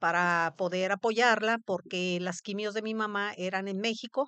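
A woman's medium-pitched voice with fairly even intonation and a bright, sharp tone, recorded dry and close with no echo over a quiet background. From Mexico, Veracruz. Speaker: cancer survivor. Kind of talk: testimony.

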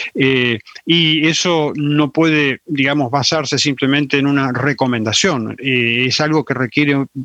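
In a dry, close recording with no echo, a man with a fairly high pitch and a bright, sharp tone talks at a fairly slow pace. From Argentina, Salta. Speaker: forensic doctor, UN human rights expert. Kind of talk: interview. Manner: halting, many fillers.

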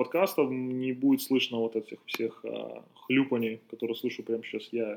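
A man speaks in an ordinary speaking voice, medium in pitch, with fairly even intonation. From Belarus. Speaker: basketball podcast host and trainer. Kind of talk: casual chat. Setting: outdoors in the sun.

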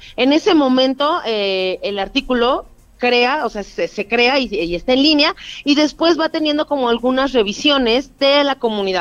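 High-pitched woman's voice with lively intonation and a moderate pace. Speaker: nonprofit director. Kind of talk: interview.

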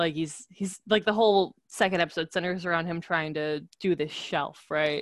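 This is a plain, everyday voice with an American accent. The sound is dry and close, with no echo. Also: woman. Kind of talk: casual chat.

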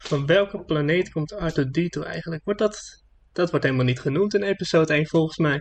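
In a normal speaking voice, a man talks at a fairly quick pace with fairly high pitch and ordinary pitch variation. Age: 20s. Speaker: podcast co-host. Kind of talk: casual chat.

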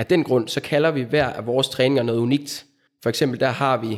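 A man with a plain, everyday voice speaks at a medium pitch with fairly even intonation, on a very clean recording with a silent background. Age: 30s. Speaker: physiotherapist. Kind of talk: interview.

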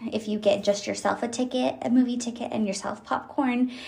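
At a moderate pace, a woman talks in a somewhat breathy voice with ordinary pitch variation. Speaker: solo podcast host. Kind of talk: casual monologue.

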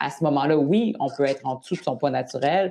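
A woman with a Quebec accent speaks at a moderate pace, her voice very deep and low-pitched, with a dark, mellow tone. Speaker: nutrition and eating-behaviour specialist. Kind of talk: interview.

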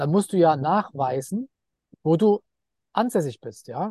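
Lively intonation marks this man's dark, mellow tone at a high pitch. The sound is dry and close with no echo, over a quiet background. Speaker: entrepreneur and investor. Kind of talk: interview.

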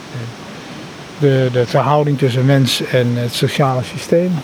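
A man talks at a fairly slow pace in a flat monotone. Noticeable background noise sits behind him. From Netherlands, The Hague. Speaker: organisational consultant. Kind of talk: casual chat. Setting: outdoors.

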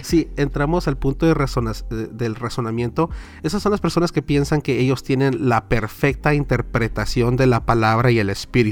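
Lively intonation and vocal fry at a moderate pace, with hardly any pauses and very even loudness. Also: man, medium pitch for a man. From Southern California. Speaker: podcaster and church minister. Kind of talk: casual chat.

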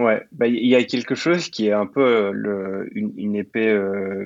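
Pitched in the medium range, a man speaks with ordinary pitch variation. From Belgium, partly raised in Sicily. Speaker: Web3 program manager and growth expert. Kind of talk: interview. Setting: podcast recording. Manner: halting, many fillers and repetitions.

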